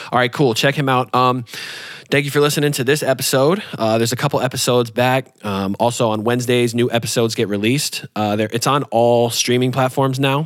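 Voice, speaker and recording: In an American accent, an ordinary speaking voice moves at a fairly quick pace, with fairly even intonation and very even loudness. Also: man, medium pitch for a man. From New York, then Michigan from age 13. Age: 20s. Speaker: podcast host. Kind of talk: casual interview chat.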